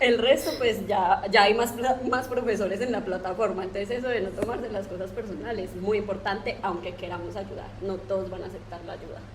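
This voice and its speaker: A woman with an Antioquian accent at medium pitch, fairly quick and with hardly any pauses, fairly even intonation but big swings in loudness, over noticeable background noise. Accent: paisa Colombian. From Colombia, Antioquia (paisa). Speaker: software developer and online course instructor. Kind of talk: podcast interview.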